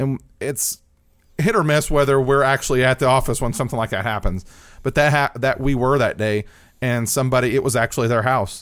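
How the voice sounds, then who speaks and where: A man with an American accent uses an ordinary speaking voice on a very clean recording with a silent background. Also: medium pitch for a man, ordinary pitch variation, fairly quick pace. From southern Indiana, Austin. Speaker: newspaper journalist. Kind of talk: interview conversation. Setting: studio.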